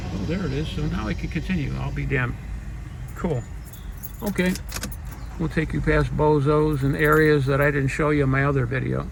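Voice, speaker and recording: A man talks at a fairly quick pace with long, frequent pauses, amid noticeable background noise and audible room echo. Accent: Chicago. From Chicago area (Dolton, Illinois). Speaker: vlogger. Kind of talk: casual narrated drive vlog. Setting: in a car. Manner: chatty, rambling.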